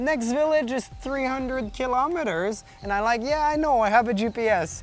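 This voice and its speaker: Over noticeable background noise, a man with a Quebec accent speaks at a moderate pace in an extremely high pitch. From Quebec, Canada. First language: French. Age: 30s. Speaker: long-distance bicycle traveler. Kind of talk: interview. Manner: halting.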